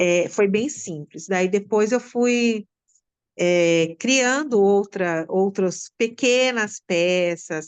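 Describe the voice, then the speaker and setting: A woman speaks very slowly at a medium pitch, with ordinary pitch variation, over a quiet background. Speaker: school teacher, theatre with students. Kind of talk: interview answer.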